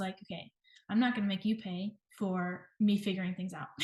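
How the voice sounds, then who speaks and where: A woman speaks at a moderate tempo in a somewhat breathy voice with an American accent. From US South, Georgia. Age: 20s. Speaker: nutrition professional in private practice. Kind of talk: interview.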